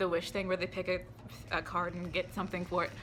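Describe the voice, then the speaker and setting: Against music in the background, a woman talks in a medium pitch. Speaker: vlogger. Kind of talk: casual chat. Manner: fast; animated.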